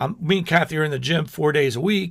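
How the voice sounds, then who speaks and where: On a very clean recording with a silent background, a man with a fairly high pitch and vocal fry speaks at a very fast pace, his pitch varying in an ordinary way. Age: 60s. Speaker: pastor and ministry leader. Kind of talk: casual teaching talk on video show. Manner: conversational with frequent fillers and restarts.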